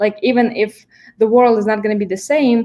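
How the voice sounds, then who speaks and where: A woman with a Russian accent. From Kazakhstan. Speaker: event management student. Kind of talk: panel discussion.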